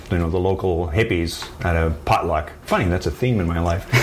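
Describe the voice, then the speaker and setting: A man with a Canadian accent, very deep and low in pitch, with fairly even intonation over noticeable background noise. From rural midwestern Ontario, Canada. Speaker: wood horn maker. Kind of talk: interview. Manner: halting.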